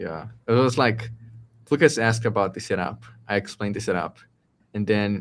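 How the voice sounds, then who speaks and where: Talking at a fairly quick pace with ordinary pitch variation, a man leaves long, frequent pauses. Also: medium pitch for a man. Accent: Portuguese. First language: Portuguese. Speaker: tech entrepreneur co-host. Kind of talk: casual chat. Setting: live stream. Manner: halting.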